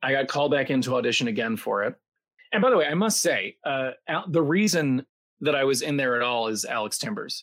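A man with a plain, everyday voice speaks at a medium pitch and moderate pace, his intonation lively. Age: 40s. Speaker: Broadway actor and voice actor. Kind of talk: casual interview chat. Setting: live video call stream.

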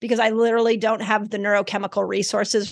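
Against a quiet background, a woman speaks very fast at medium pitch with monotone, flat intonation. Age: 50s. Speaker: health author. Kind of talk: interview.

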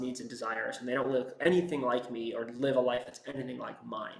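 There is audible room echo and noticeable background noise as a man with a medium-pitched voice talks at a fairly quick pace. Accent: American. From US, San Francisco Bay Area (West Marin). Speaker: screenwriter. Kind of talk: interview.

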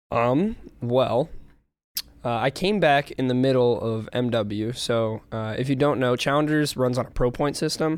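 A man with a Midwestern American accent speaks fairly slowly at a medium pitch with ordinary pitch variation. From Illinois suburbs. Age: 20s. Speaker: professional esports player. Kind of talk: casual interview.

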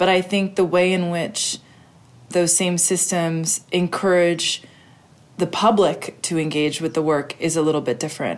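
Using an ordinary speaking voice, a woman talks at a fairly slow pace with a fairly low pitch and fairly even intonation. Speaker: documentary director. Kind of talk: interview.

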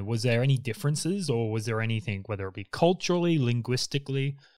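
A man at medium pitch with an Australian accent and lively intonation, in a very clean recording with a silent background. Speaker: podcast host, designer. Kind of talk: interview.

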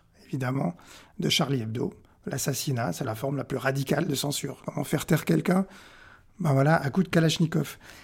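Vocal fry colors speech that has ordinary pitch variation. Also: man. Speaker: press cartoonist. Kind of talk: interview. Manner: halting, many repetitions and hesitations.

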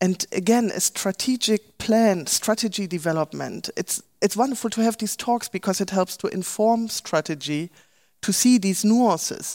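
On a very clean recording with a silent background and a dry, close sound with no echo, a woman at medium pitch talks at a moderate pace with ordinary pitch variation. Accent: German. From Germany. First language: German. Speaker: professor. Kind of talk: panel discussion. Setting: stage with live stream.

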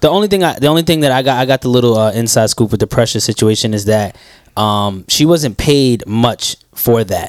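A man speaks in an ordinary speaking voice at medium pitch and a fairly quick pace. His intonation is lively while his loudness stays very even. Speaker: podcast co-host. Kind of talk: casual chat.

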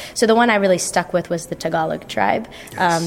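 A woman's fairly low voice at a fairly quick pace, with noticeable background noise. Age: 20s. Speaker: VR filmmaker. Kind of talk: interview. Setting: festival venue.

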